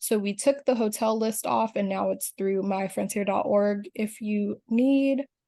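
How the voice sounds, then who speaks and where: A dark, mellow voice at a fairly slow pace, with ordinary pitch variation, over a quiet background. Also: woman. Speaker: union officer. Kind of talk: video call presentation.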